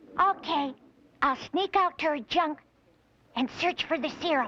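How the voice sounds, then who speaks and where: A woman uses a put-on character voice, pitched high. She keeps a moderate pace. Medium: short film.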